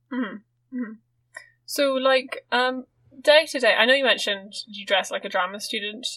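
A woman with a high, bright, sharp voice projects it loudly. Her volume swings widely. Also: ordinary pitch variation, moderate pace. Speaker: podcast host. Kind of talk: casual chat.

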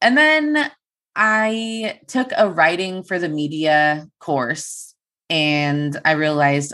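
This woman talks with an American accent. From Turlock, California (Central Valley). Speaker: news reporter. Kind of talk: casual interview chat. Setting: video call.

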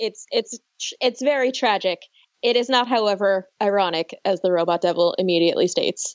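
A plain, everyday voice: a woman with an American accent, medium pitch, a fairly quick pace, ordinary pitch variation, and very even loudness. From US Northeast (New York, Buffalo). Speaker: podcast host (guest). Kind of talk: casual chat.

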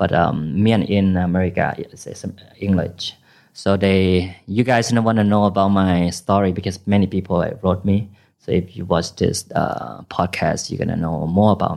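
In a Thai accent, this voice moves at a moderate pace with fairly even intonation and big swings in loudness. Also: man, very deep, low pitch for a man. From northern Thailand, Phayao and Chiang Rai. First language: Iu Mien, then Thai. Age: 30s. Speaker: party promoter. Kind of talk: casual chat. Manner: halting.

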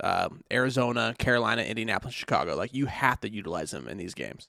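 A man's very fast speech at medium pitch, bright and sharp in tone, with vocal fry and ordinary pitch variation. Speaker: fantasy football podcast co-host. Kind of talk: casual banter podcast.

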